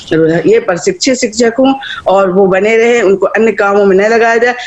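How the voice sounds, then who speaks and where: A woman is heard through noticeable background noise. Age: 60s. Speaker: education activist. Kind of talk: public speech. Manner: animated.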